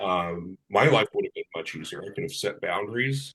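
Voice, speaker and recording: At a moderate pace, a man speaks with a Californian accent. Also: dry, close sound with no echo. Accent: American, Californian. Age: 60s. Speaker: person in recovery. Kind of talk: casual interview conversation. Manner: halting, many fillers.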